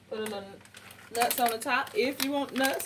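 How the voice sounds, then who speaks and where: Over noticeable background noise, a woman with a high pitch talks at a fairly quick pace in an animated tone with lively intonation. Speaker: cooking channel host. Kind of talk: cooking tutorial. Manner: fast.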